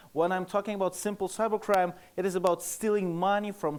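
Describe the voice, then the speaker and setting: A man with a Russian accent. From Russia (Moscow). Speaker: security researcher, conference speaker. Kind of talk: conference presentation. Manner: halting, many fillers.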